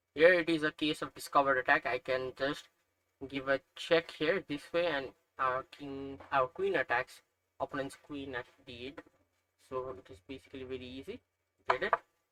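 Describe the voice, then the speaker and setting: A man with a Nepali accent and a fairly high pitch, bright and sharp in tone, at a moderate pace with long, frequent pauses, in a dry, close sound with no echo. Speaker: chess learner streamer. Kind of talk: tutorial. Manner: hesitant, with fillers.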